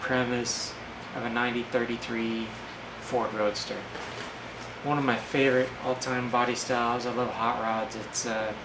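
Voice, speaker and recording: A man with an American accent talks in a medium pitch with monotone, flat intonation and long, frequent pauses, over noticeable background noise. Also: moderate pace. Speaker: DIY mechanic and garage hobbyist. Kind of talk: casual talk to camera.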